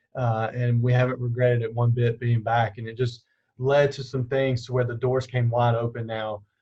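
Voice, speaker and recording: In a somewhat breathy voice, a man of medium pitch speaks in a flat monotone at a moderate pace. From US South, Alabama (Dothan). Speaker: campus minister. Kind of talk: interview.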